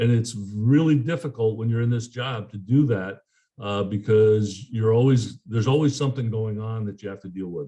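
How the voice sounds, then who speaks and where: A man's somewhat breathy voice of medium pitch, dark and mellow in tone, with ordinary pitch variation, big swings in loudness and a moderate pace. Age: 70s. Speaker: politician. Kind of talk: press conference Q&A. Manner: halting, many fillers and repeats.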